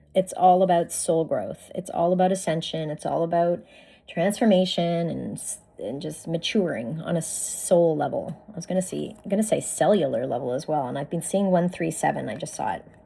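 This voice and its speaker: Her pitch fairly low, a woman speaks at a moderate pace with big swings in loudness and noticeable background noise. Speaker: spiritual card reader. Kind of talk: oracle card reading. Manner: animated.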